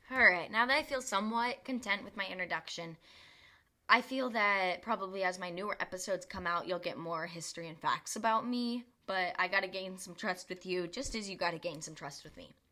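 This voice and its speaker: A woman speaks at a fairly quick pace. Hers is an unremarkable speaking voice. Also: medium pitch for a woman, ordinary pitch variation. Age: 20s. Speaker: podcast host. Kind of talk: casual podcast monologue. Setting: home bedroom recording.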